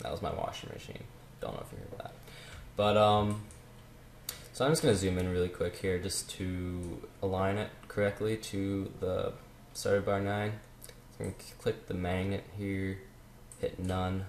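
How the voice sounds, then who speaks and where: At a moderate pace, the speaker leaves long, frequent pauses. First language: French. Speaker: music production tutorial maker. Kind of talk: tutorial. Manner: casual, hesitant with many fillers.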